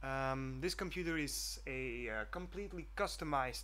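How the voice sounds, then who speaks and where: At a moderate pace, the speaker talks with a Flemish accent in a space with audible room echo. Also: man. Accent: Flemish Dutch accent in English. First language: Dutch. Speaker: student programmer vlogger. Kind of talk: screencast vlog. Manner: halting, many fillers.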